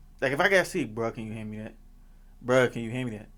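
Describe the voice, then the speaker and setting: A man mumbles. The recording is very clean, with a silent background. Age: 20s. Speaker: podcast host. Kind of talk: casual chat. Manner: soft-spoken; mumbling.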